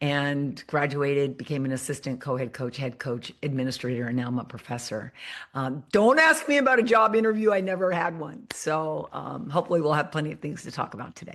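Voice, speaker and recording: A woman with an American accent and a very deep, low voice, fairly quick and with hardly any pauses, lively intonation and big swings in loudness, against a quiet background. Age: 60s. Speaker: former softball coach and professor. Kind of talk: podcast interview.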